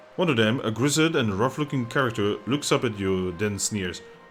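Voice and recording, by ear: Someone is reading aloud in a natural voice, and the intonation is lively.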